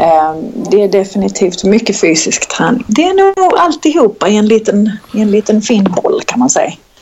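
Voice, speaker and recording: Over noticeable background noise, a woman with a fairly high pitch talks at a moderate pace with hardly any pauses, very even loudness and very wide pitch swings. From southern Sweden (Skåne, Kristianstad). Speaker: personal trainer. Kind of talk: casual interview chat. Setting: Skype call.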